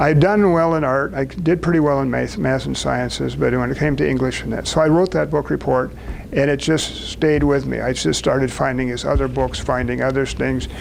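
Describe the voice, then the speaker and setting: Amid noticeable background noise and audible room echo, a man with an American accent talks with hardly any pauses. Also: fairly quick pace. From US Midwest (southern Wisconsin). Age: 80s+. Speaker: speaker at a business networking event. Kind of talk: personal talk to a small group.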